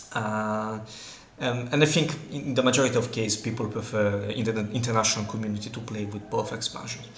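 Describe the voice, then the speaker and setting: A man's medium-pitched voice with an Italian accent and fairly even intonation, amid noticeable background noise and audible room echo. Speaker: board game content creator. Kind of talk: game commentary. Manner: hesitant, many fillers.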